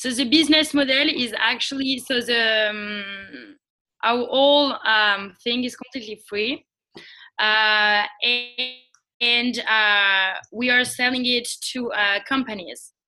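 A woman's high-pitched voice with a French accent, bright and sharp in tone, very slow in pace, with ordinary pitch variation. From France. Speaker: social entrepreneur. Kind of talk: interview. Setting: call. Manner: hesitant.

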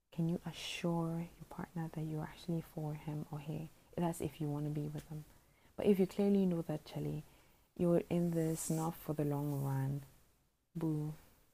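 Speaking at a moderate pace, a woman has a very deep, low pitch, a dark, mellow tone, a somewhat breathy quality and monotone, flat intonation. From Botswana. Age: 20s. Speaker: podcaster. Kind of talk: casual monologue. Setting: at home at night.

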